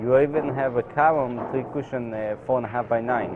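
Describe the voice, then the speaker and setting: The man's voice sits at a medium pitch, and he speaks at a moderate pace. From Israel, Tel Aviv. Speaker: professional pool player. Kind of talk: interview. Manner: hesitant, many fillers.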